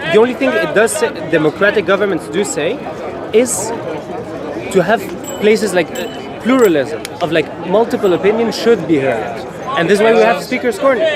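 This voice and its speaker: Amid crowd noise and audible room echo, a man with a French accent speaks at a high pitch and fairly quick pace, with lively intonation and long, frequent pauses. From Egypt. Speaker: visitor in street debate. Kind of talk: street debate.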